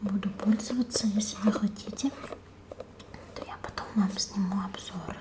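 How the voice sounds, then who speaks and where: A woman whispers in a gentle tone at a very slow pace. Her loudness swings widely. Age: 30s. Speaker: beauty vlogger. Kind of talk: ASMR haul, whispered unboxing of cosmetics. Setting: home, close to a sensitive microphone. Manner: soft, hushed, slow and intimate; gentle, unhurried, musing aloud while rustling packaging. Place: home room.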